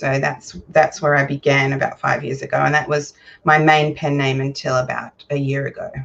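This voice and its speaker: In an Australian accent, a woman talks at a moderate pace with a very deep, low pitch and monotone, flat intonation. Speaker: romance author. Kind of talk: casual chat.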